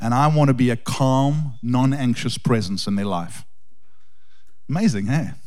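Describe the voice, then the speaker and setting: With audible room echo, a man speaks in an intense tone at a medium pitch, using ordinary pitch variation and long, frequent pauses. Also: moderate pace. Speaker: pastor. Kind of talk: sermon introduction. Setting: church. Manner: intense and loud.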